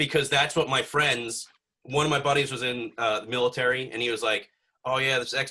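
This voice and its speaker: Speaking very fast with an American accent, a man uses a medium pitch and a bright, sharp tone. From US Northeast, North Jersey. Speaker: YouTuber with a doctorate. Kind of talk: casual chat. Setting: podcast. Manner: halting.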